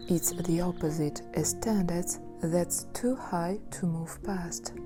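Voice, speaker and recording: The speech moves at a very slow pace with music playing in the background. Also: woman. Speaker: therapist. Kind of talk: documentary narration.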